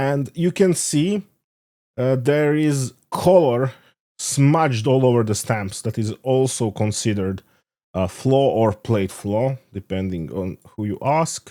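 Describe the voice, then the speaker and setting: With a non-native accent, a man speaks very slowly in a dark, mellow tone at medium pitch, his intonation lively, in a very clean recording with a silent background. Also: dry, close sound with no echo. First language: not English. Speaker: stamp collector video maker. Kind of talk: tutorial. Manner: halting, many fillers.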